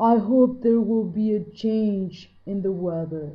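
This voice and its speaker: Using a put-on character voice, a woman with a medium pitch sounds gruff at a fairly slow pace. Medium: read story.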